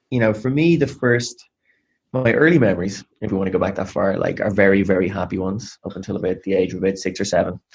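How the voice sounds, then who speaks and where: Here is a man with a Dublin accent and a fairly low pitch. He talks at a very fast pace with ordinary pitch variation. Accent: Irish (Dublin). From Ireland, Dublin. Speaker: sales executive. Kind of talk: interview. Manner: energetic.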